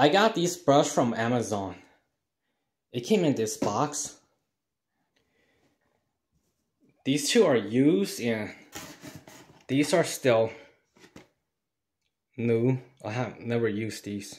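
With lively intonation, a man speaks at a very slow pace, leaving long, frequent pauses. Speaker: home cleaning vlogger. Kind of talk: casual vlog chat. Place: bathroom. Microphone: phone near.

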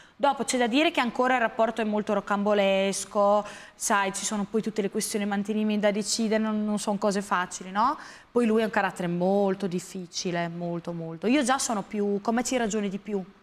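A woman at a fairly quick pace, with a medium pitch and ordinary pitch variation. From San Marino. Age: 20s. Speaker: model and influencer; influencer. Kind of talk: TV interview. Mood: reflective, personal, somewhat subdued. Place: studio.

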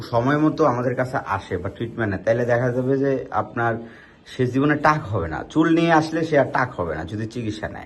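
A man talks at a medium pitch with lively intonation. He has an ordinary speaking voice. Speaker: hair transplant clinic doctor presenting patient cases. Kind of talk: casual patient video presentation.

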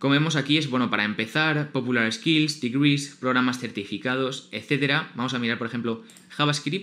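A man with a Spanish accent speaks in a bright, sharp tone. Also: medium pitch for a man, ordinary pitch variation, moderate pace. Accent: Peninsular Spanish. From Spain. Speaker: YouTuber. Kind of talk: tutorial. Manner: informal.

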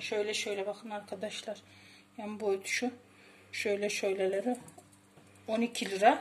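A woman speaks at a fairly slow pace. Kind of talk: tutorial. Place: home room. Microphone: phone near.

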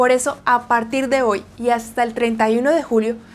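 A woman with a Colombian accent speaks at a fairly slow pace with a high pitch. Light background noise can be heard. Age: 20s. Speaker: Spanish teacher. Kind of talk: news reading; sales pitch. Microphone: lapel.

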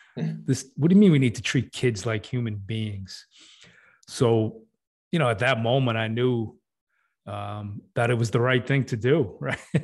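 A man's somewhat breathy, medium-pitched voice at a fairly slow pace, against a quiet background. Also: ordinary pitch variation. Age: 40s. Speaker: fatherhood coach. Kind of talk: casual chat.

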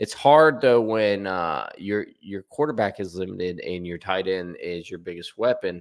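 A man talks with an American accent and lively intonation. The background is quiet. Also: big swings in loudness. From US Midwest, southern Ohio. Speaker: sports YouTuber. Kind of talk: casual sports commentary. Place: home room. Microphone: studio mic.

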